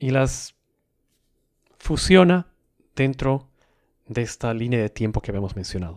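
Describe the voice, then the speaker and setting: In a dry, close recording with no echo, a man at medium pitch speaks at a fairly slow pace with lively intonation and long, frequent pauses. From South America. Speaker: podcast host. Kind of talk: solo educational podcast monologue. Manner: measured, explanatory.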